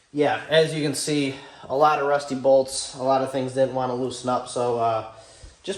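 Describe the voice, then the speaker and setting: A man's voice with audible room echo. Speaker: car build YouTuber. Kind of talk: garage vlog talk. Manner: fast.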